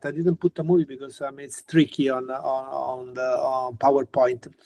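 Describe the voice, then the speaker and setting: Against a quiet background, a man with an Italian accent talks at a fairly quick pace with ordinary pitch variation. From Italy. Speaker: physicist, university professor; university professor. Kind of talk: lecture. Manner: halting. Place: home room. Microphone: video call.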